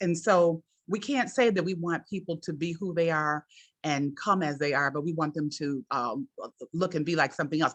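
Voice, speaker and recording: A plain, everyday voice from a fairly low-pitched woman, lively in intonation, over a quiet background. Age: 60s. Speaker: journalism professor, webinar host. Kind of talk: webinar presentation. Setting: online webinar.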